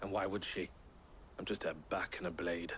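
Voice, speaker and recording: Putting on a character voice, a man speaks sternly at a moderate pace, raspy and very deep, with clear background noise behind him. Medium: video game. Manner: stern, clipped.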